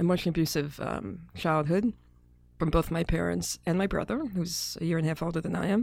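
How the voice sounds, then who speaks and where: A woman with an American accent, fairly low in pitch with vocal fry, ordinary pitch variation and a fairly quick pace, on a very clean recording with a silent background. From Brooklyn, New York City. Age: 50s. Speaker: psychologist and media executive. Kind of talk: interview conversation.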